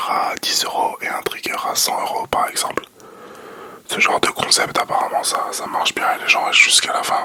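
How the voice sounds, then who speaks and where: A whisper moves at a moderate pace against noticeable background noise. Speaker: ASMR content creator. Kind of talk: ASMR whispered casual chat. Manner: whispering; hesitant, many fillers.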